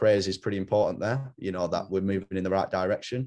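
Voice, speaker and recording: Against a quiet background, a man with an English accent speaks very fast, his fairly low voice dark and mellow in tone. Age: 20s. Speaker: rugby coach. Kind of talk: interview. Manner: halting, many fillers.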